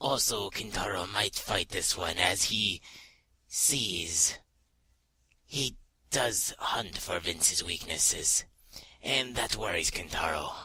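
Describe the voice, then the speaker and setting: Using a put-on character voice, a man sounds raspy at a fairly low pitch, with lively intonation, a fairly slow pace and long, frequent pauses. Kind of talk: interview answer. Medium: role play. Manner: hesitant.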